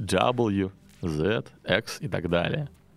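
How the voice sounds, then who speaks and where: A man at a very slow pace over background music. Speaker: podcast host, English teacher. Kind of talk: educational monologue; storytelling (fairy tale). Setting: studio.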